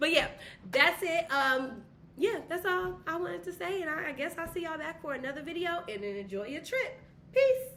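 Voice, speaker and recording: A woman with a high voice speaks with very wide pitch swings, and audible room echo surrounds her. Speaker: vlogger. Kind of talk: casual vlog talk to camera. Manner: fast.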